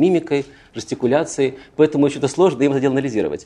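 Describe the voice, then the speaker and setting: A man talks very fast in a dark, mellow tone. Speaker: political psychologist. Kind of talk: lecture. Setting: stage with audience.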